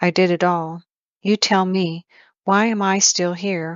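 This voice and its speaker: A put-on character voice that sounds female comes at a middle pitch, with monotone, flat intonation and a fairly slow pace. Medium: read story.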